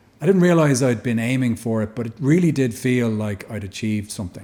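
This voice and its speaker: Speaking at a fairly quick pace with a Dublin accent, this voice has a dark, mellow tone, a somewhat breathy quality and lively intonation. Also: man. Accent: Irish (Dublin). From Dublin, Ireland. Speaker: actor. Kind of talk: podcast interview answer.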